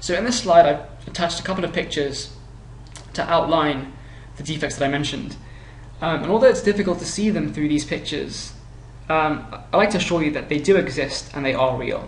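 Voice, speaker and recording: A man talks at a fairly quick pace in a fairly high voice. His pitch varies in an ordinary way, and there is audible room echo. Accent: British. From UK. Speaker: consumer reviewer. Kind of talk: product review narration. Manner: halting.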